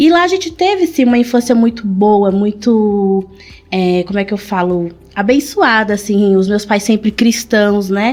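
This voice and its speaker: This woman's voice sits fairly high, with ordinary pitch variation. She talks at a fairly slow pace. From São Paulo, Brazil (born in Pernambuco). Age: 30s. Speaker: shoe business owner. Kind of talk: interview.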